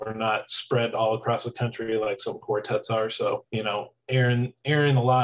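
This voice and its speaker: A man's somewhat breathy voice with fairly even intonation at a fairly quick pace. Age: 30s. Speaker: barbershop quartet singer. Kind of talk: interview.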